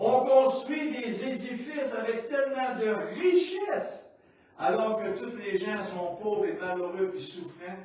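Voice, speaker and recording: A man's extremely high voice at a very slow pace, with very wide pitch swings and big swings in loudness, amid audible room echo and noticeable background noise. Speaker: pastor. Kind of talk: sermon.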